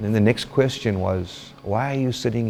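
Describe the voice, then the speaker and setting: A man speaks with music in the background. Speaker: rehab resident sharing recovery story. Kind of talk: testimony.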